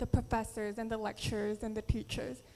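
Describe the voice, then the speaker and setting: A woman speaks with a Filipino accent. Her fairly high voice has a monotone, flat intonation. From Philippines and US. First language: Tagalog. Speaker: beauty pageant contestant. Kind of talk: prepared speech.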